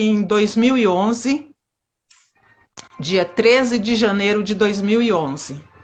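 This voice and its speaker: A woman with a fairly high pitch talks at a very slow pace, leaving long, frequent pauses and using ordinary pitch variation. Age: 50s. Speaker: amateur street runner. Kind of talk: interview.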